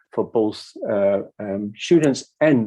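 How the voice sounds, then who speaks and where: A man speaks with a Dutch accent at a medium pitch. His tone is dark and mellow. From Netherlands. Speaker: academic speaker. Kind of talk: conference talk. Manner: halting.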